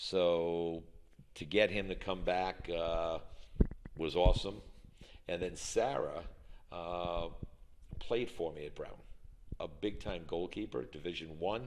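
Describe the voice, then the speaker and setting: A man's very deep, low voice at a very slow pace, with long, frequent pauses and audible room echo. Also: ordinary pitch variation. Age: 60s. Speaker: college soccer coach. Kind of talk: interview. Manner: frequent hesitations (uh).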